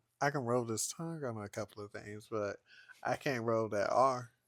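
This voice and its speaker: On a very clean recording with a silent background and a dry, close sound with no echo, a man talks at a moderate pace with ordinary pitch variation. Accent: Southern US. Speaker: podcast co-host. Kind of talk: casual chat. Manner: animated.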